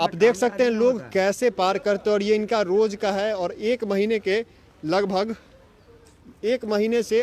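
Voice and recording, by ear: This man's voice sits high for a man, with a slightly mellow tone, a fairly slow pace and ordinary pitch variation.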